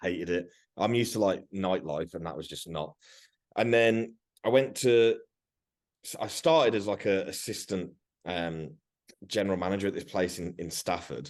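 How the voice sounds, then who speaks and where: A man speaks loudly in a very deep, low pitch, leaving long, frequent pauses. The background is quiet. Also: ordinary pitch variation, moderate pace. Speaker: fitness coach. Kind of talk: casual chat. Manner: animated.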